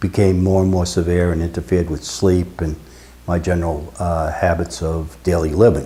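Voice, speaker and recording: With fairly even intonation, a man speaks in a very deep, low pitch. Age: 70s. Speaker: retired electrical engineer, patient. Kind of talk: testimony. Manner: halting, frequent uh fillers.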